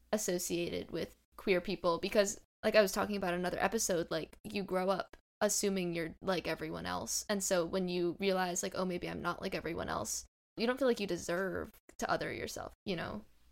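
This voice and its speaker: On a very clean recording with a silent background, a woman talks fairly quickly at a medium pitch with vocal fry. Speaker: podcast host. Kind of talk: casual interview chat.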